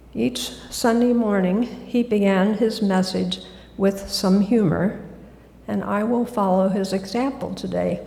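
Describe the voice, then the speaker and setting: A woman with an American accent at a fairly slow pace, with audible room echo. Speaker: guest speaker at church. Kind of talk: sermon.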